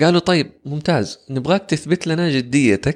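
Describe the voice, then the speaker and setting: The sound is dry and close with no echo. The background is quiet. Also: man. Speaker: voice-over artist and public speaking coach. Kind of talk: casual interview chat.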